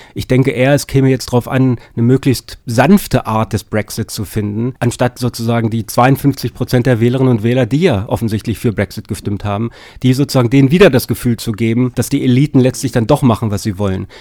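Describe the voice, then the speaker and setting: Speaking at a fairly quick pace with hardly any pauses, a man uses ordinary pitch variation and a dark, mellow tone. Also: medium pitch for a man, dry, close sound with no echo. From Lower Saxony, Germany. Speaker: political science professor. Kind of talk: interview. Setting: studio. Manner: hesitant with fillers.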